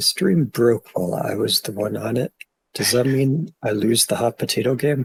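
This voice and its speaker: A man with a plain, everyday voice speaks at a medium pitch with ordinary pitch variation, the sound dry and close with no echo. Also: moderate pace. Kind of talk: casual gameplay commentary.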